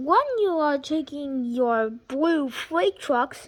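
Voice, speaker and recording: A woman speaks in a put-on character voice. Her pitch is high and her pace very slow. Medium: read story. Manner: throat-clearing, authoritative.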